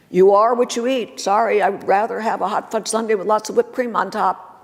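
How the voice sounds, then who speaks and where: A fairly high-pitched woman with an American accent and lively intonation, amid noticeable background noise. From US Northeast. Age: 70s. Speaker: magazine publisher and motivational speaker. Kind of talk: conference talk. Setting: stage with audience.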